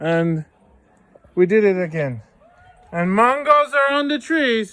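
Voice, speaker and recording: A man uses a raised, projected voice at a high pitch, with very wide pitch swings and a very slow pace. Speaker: vlogger. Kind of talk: casual talk to camera.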